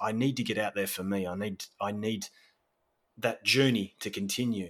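With an Australian accent, this man speaks in a fairly low pitch. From Australia, Victoria (Sorrento, near Melbourne). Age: 40s. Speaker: landscape photographer. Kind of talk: interview conversation.

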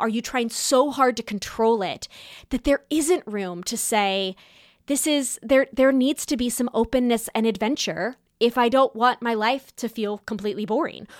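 In a plain, everyday voice with an American accent, a woman speaks at a moderate pace and fairly high pitch, the sound dry and close with no echo on a very clean recording with a silent background. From California. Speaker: podcast host. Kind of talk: solo monologue podcast.

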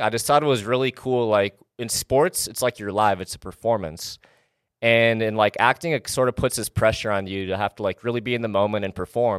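A man with an American accent talks very fast at a medium pitch, his pitch moving in an ordinary way, on a dry, close recording with no echo that is very clean over a silent background. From Wisconsin, small town. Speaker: fitness entrepreneur and YouTuber. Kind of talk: casual interview. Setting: home studio.

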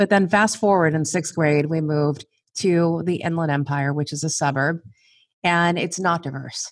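Recorded very cleanly against a silent background, a woman with a West Coast accent speaks at a fairly low pitch. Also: fairly even intonation, moderate pace. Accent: American West Coast. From Southern California, East L.A. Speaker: corporate HR executive. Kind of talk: interview.

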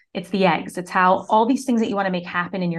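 A woman with an American accent has an unremarkable speaking voice, fairly low in pitch, with ordinary pitch variation. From Syracuse, New York, US. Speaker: marketing mentor and business owner. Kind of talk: interview conversation.

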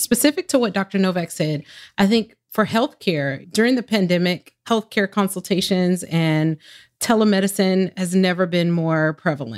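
Recorded very clean with a silent background and a dry, close sound with no echo, an ordinary speaking voice with an American accent moves at a moderate pace, with ordinary pitch variation and very even loudness. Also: woman, medium pitch for a woman. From US Southwest, Phoenix. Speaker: education administrator at a telecom company. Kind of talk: interview.

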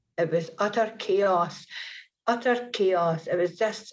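At a fairly slow pace, a woman of medium pitch speaks with ordinary pitch variation against a quiet background. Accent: Scottish. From rural Scotland. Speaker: author, adoptee. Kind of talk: personal testimony interview. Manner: hesitant, many fillers.

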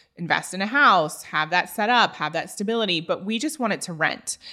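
Bright and sharp in tone, the voice moves with lively intonation. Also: woman. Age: 30s. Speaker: podcast host. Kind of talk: solo podcast monologue.

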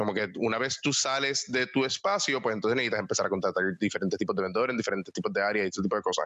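Speaking at a very fast pace, a man with a medium-pitched voice has a bright, sharp tone and very even loudness. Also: lively intonation. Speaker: entrepreneur. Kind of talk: interview.

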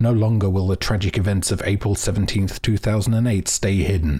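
A man speaks in a fairly low, somewhat breathy voice. The recording is very clean, with a silent background. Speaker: narrator of a fiction podcast mystery. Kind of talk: scripted narration in a fiction podcast.

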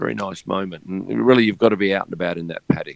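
Speaking with an Australian accent, a man with a very deep, low voice uses lively intonation. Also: dry, close sound with no echo. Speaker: F1 photographer. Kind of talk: casual interview.

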